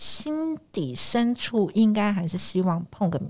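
In a very clean recording with a silent background, a woman's voice comes through somewhat breathy. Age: 40s. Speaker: family caregiver sharing personal story. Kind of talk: personal testimony.

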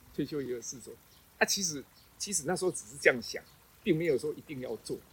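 This is a man speaking. His pace is fairly quick. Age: 60s. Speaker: retired special education art teacher. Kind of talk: interview. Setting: outdoors. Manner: halting.

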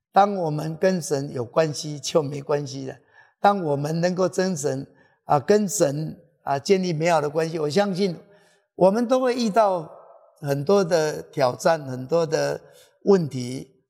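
A man's fairly high voice, dark and mellow in tone, at a fairly slow pace. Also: ordinary pitch variation. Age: 60s. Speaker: pastor. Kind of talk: interview testimony. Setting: church with live audience. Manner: halting with many fillers.

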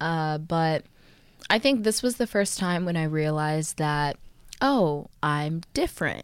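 A woman's fairly low voice with an American accent, lively intonation and a fairly slow pace, an ordinary speaking voice on a very clean recording with a silent background. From Texas. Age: 20s. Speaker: dancer and podcast co-host. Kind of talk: casual chat.

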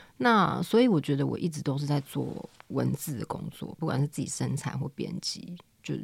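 The recording of this woman's voice, marked by vocal fry, is very clean with a silent background. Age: 30s. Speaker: editor and company director. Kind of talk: casual interview chat.

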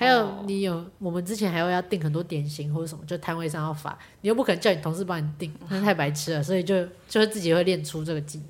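A woman talks very fast in a fairly low pitch with ordinary pitch variation. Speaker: event planner. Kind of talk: casual chat. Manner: loud.

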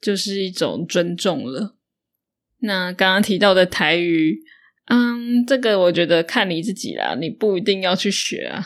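A woman with a Taiwanese accent speaks at a fairly slow pace in a medium pitch with ordinary pitch variation, in a very clean recording with a silent background. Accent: Taiwanese Mandarin. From northern Taiwan. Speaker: podcast host, Mandarin teacher. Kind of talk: solo podcast monologue for learners.

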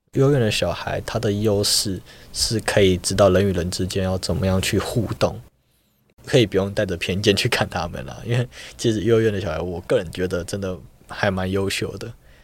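Recorded very cleanly against a silent background, a man with a fairly low pitch talks at a fairly quick pace in a plain, everyday voice with ordinary pitch variation. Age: young. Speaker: university student. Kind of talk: interview.

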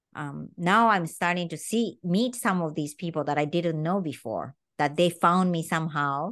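In a Japanese accent, a woman with a fairly low pitch speaks at a moderate pace with hardly any pauses and ordinary pitch variation against a quiet background. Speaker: tango teacher. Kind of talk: podcast interview.

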